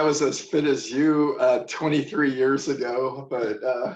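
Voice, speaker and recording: Noticeable background noise surrounds this voice. A man speaks fairly slowly at a fairly high pitch. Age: 60s. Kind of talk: interview answer.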